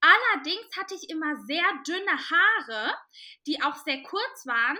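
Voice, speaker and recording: A woman's raised, projected voice, extremely high in pitch and bright and sharp in tone, at a fairly slow pace. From Cologne, Germany. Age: 20s. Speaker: curvy model and podcaster. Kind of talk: podcast interview.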